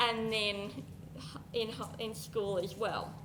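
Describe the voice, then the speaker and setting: A woman with an Australian accent speaks at a very slow pace and a fairly high pitch, with noticeable background noise and audible room echo. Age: adult. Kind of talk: presentation.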